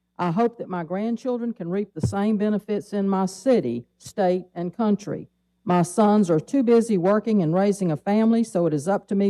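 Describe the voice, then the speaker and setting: Recorded dry and close with no echo, a woman with an Alabama accent speaks at medium pitch in a dark, mellow tone. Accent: Southern US (Alabama). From Mobile, Alabama (US South). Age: 70s. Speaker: public commenter, retiree. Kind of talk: public comment at city council. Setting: city council meeting.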